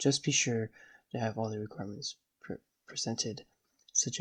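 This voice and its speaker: A man talks at a medium pitch with a somewhat breathy voice. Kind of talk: software tutorial narration. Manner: hesitant, many filler words.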